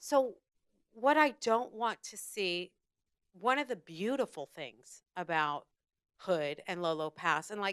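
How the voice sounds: A woman at a fairly slow pace, clear, smooth tone, dry, close sound with no echo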